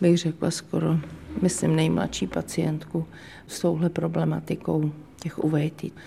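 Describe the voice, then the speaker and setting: This woman speaks at a fairly slow pace. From Czechia, small town near Kolín. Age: 50s. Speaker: charity founder. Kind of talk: interview.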